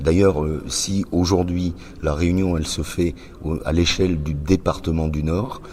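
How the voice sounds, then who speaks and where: With audible room echo around him, a man speaks very slowly at a very deep, low pitch with ordinary pitch variation. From northern France, Roubaix. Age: 60s. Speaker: association founder. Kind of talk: interview. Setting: press conference. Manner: hesitant, many fillers.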